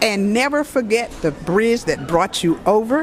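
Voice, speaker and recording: Music plays in the background. A woman speaks with a fairly high pitch and lively intonation. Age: 70s. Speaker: high school alumna at class reunion. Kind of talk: interview testimony. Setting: recorded interview at reunion.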